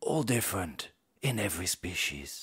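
With vocal fry and very wide pitch swings, a man speaks at a fairly slow pace against a quiet background. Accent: British. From England. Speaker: voice actor. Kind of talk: documentary narration. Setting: studio. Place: studio. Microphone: studio mic.

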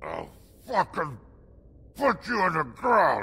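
In a put-on character voice, a man growls at a fairly slow pace. His pitch is high and swings very widely. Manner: snarling, menacing.

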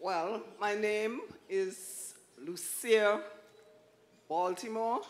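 Very slow and broken by long, frequent pauses, a woman's speech sits at a medium pitch with ordinary pitch variation. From Antigua, Bethesda village; Antigua. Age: old. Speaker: retired schoolteacher. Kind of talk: church interview testimony. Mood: warm, smiling, earnest. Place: stage. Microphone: handheld.

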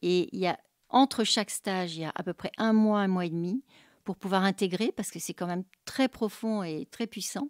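A woman with an ordinary speaking voice talks at a medium pitch with ordinary pitch variation, in a dry, close recording with no echo and a very clean, silent background. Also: moderate pace. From Paris region, France. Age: 60s. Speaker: art therapist. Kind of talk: testimony.

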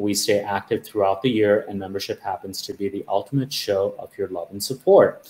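Somewhat breathy, the man's voice has a dark, mellow tone. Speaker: host of a plant society chapter webinar. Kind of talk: presentation introduction.

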